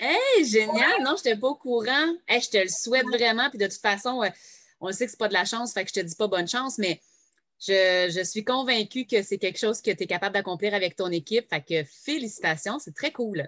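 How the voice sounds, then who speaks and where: This woman's fairly high voice has a bright, sharp tone and lively intonation at a fairly quick pace. The sound is dry and close, with no echo. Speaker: podcast host, direct sales entrepreneur. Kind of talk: casual interview. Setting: home, no editing.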